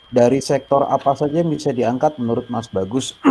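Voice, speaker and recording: The speaker is a man with a dark, mellow tone. He talks at a fairly quick pace. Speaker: moderator of student webinar. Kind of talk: moderated online discussion. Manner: hesitant with fillers.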